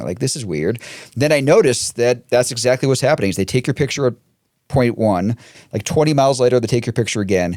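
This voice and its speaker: The recording is very clean, with a silent background. A man speaks at a very fast pace with lively intonation. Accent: Boston. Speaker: podcast co-host. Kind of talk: casual chat.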